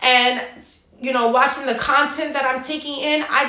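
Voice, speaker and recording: A woman speaks in a raised, projected voice at a high pitch with fairly even intonation. Audible room echo and noticeable background noise surround her. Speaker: fitness and mindset coach. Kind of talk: motivational monologue.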